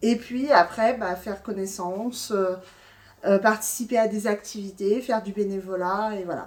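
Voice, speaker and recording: Her medium pitch and fairly even intonation carry through as this woman talks at a fairly slow pace. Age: 40s. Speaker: former programme participant, volunteer. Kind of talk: testimony. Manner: halting, many filler sounds.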